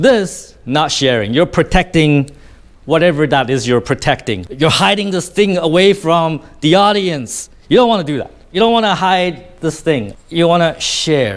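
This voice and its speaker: The delivery is animated in tone, with lively intonation and a moderate pace. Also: man, fairly high pitch for a man. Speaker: public speaking coach. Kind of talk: tutorial. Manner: animated, varied pitch and pace.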